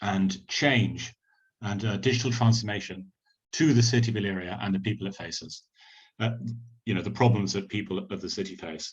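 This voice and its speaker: Speaking at a fairly quick pace with long, frequent pauses, a man with a British accent has a somewhat breathy voice at a fairly low pitch with ordinary pitch variation. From United Kingdom. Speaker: tech company representative. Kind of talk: opening remarks. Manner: hesitant, many fillers.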